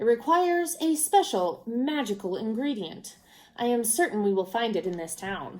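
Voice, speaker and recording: A woman's put-on character voice, fairly high-pitched, with very wide pitch swings at a moderate pace. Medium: read story. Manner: showy, persuasive.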